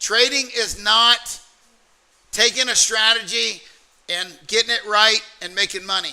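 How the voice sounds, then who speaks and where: A man speaks in a raised, projected voice at an extremely high pitch, with ordinary pitch variation and a fairly slow pace. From US South, Alabama. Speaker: trading mentor. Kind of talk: motivational workshop talk.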